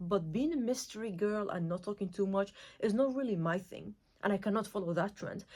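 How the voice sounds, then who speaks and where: A woman talks at medium pitch and a fairly quick pace. Her intonation is lively. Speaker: lifestyle vlogger. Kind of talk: casual monologue. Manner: fast; energetic.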